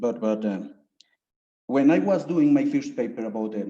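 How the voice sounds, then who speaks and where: In a Spanish accent, a man speaks at a moderate pace and medium pitch with ordinary pitch variation. His tone is dark and mellow. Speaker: thesis jury member, researcher. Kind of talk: academic Q&A. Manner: halting.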